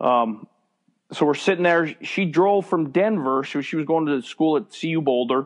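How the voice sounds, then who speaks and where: An unremarkable speaking voice from a man with an American accent, fairly high pitch, ordinary pitch variation and moderate pace, with a quiet background. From US, small town. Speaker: baseball umpire. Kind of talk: interview, faith testimony.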